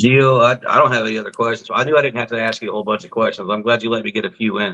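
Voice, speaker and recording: A man talks at a very fast pace, his pitch medium and his pitch variation ordinary. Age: 40s. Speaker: testimony show host. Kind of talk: interview wrap-up.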